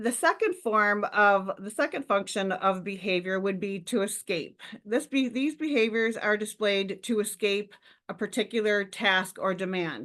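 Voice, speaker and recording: A woman speaks in a normal speaking voice at a medium pitch. Her pace is moderate and her pitch varies in an ordinary way. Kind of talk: webinar lecture.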